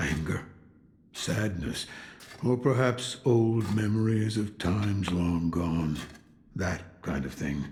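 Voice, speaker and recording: Using a put-on character voice, a man with a fairly low pitch talks at a fairly slow pace, his lively intonation broken by long, frequent pauses. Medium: video game. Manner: gruff, laconic, dry.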